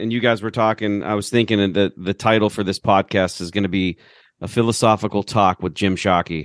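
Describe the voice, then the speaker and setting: Over a quiet background, a man with a fairly low pitch uses an unremarkable speaking voice, recorded with a dry, close sound and no echo. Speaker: podcast host. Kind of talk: casual chat.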